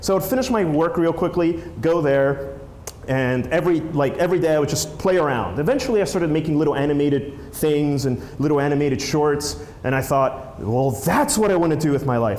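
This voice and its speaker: Noticeable background noise and audible room echo surround a man who talks at a very fast pace. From Peru, moved to New Jersey as a child. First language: Spanish. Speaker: filmmaker and app creator, conference speaker. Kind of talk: conference talk. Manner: casual, many fillers and restarts.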